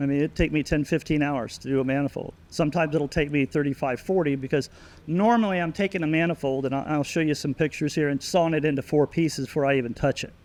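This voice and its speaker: Speaking at a very fast pace with hardly any pauses, a man keeps a fairly high pitch and fairly even intonation. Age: 60s. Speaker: cylinder head and manifold porter. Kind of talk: technical interview.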